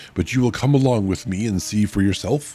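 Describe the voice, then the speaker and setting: A put-on character voice from a man, hoarse and fairly low-pitched, with ordinary pitch variation, a fairly quick pace and faint music in the background. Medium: virtual streamer.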